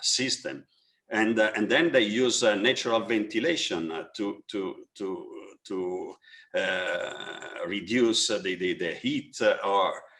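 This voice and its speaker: A man speaks with an Italian accent. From Italy. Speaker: architect. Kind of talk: webinar panel discussion. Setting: online webinar. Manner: halting, many fillers and repetitions.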